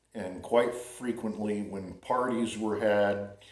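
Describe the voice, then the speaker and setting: A man's fairly low, relaxed voice with an American accent, monotone and flat, at a very slow pace amid audible room echo. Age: 60s. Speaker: vlogger. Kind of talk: casual monologue. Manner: relaxed, halting with fillers.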